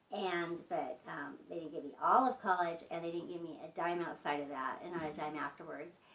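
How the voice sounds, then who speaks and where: A woman's fairly low voice with ordinary pitch variation, a fairly quick pace and hardly any pauses. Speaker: storytime vlogger. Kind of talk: storytime monologue. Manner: fast; hesitant, many fillers.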